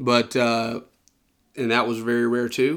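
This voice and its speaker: Medium pitch and a Southern US accent in a man's voice. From US South, Georgia. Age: 20s. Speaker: podcast co-host. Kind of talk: casual Bible discussion. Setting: indoors at a round table.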